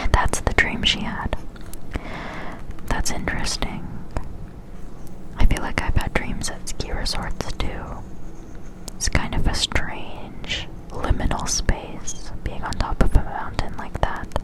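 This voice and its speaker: Over noticeable background noise, someone whispers at a very slow pace with long, frequent pauses. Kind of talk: ASMR whisper reading and commentary to camera. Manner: whispered, soft, intimate.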